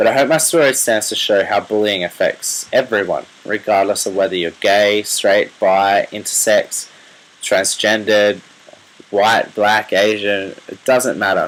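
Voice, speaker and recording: A man with an Australian accent talks at a fairly slow pace, with noticeable background noise. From Australia, rural New South Wales. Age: 20s. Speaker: medical student sharing personal story. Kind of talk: personal testimony video. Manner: hesitant, many fillers.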